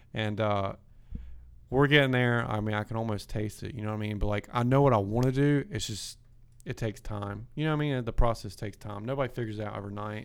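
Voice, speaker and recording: Man with a Southern US accent on a very clean recording, silent background. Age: 20s. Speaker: podcast host and auto business owner. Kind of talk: casual chat. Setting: studio.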